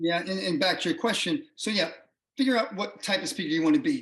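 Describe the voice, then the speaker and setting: A man talks at a high pitch with very wide pitch swings. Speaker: CEO of a speakers bureau, professional speaker. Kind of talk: interview. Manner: fast.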